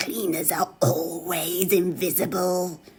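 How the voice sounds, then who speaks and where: In a put-on character voice, a female-sounding speaker cackles and growls at a fairly slow pace, wheezy and fairly low in pitch. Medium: solo performance. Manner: cackling, wheezy.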